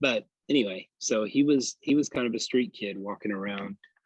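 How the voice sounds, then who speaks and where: With a Tennessee accent, a man talks at a moderate pace in a dry, close sound with no echo. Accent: Southern US (Tennessee). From US South, Polk County, Tennessee. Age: 40s. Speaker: barber. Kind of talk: interview conversation. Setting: outdoors in a park. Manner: halting.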